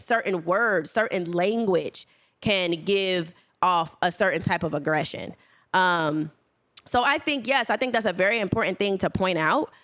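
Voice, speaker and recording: Against a silent background in a very clean recording, a woman at medium pitch talks at a moderate pace with ordinary pitch variation. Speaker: podcast co-host. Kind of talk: casual chat. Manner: passionate, animated.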